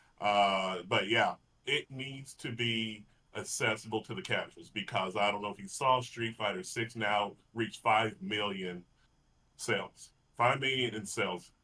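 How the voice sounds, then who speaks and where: At a fairly slow pace, a man with a Texas accent speaks in a fairly low pitch with ordinary pitch variation. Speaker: fighting game podcast co-host. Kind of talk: casual chat.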